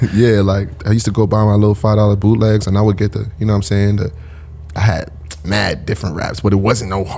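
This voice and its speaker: Over noticeable background noise, a man with a Brooklyn accent talks very fast at a fairly low pitch, his intonation fairly even. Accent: New York (Brooklyn). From Brooklyn, New York (Flatbush, Bed-Stuy), Caribbean family. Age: 20s. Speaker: rapper. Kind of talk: casual podcast interview.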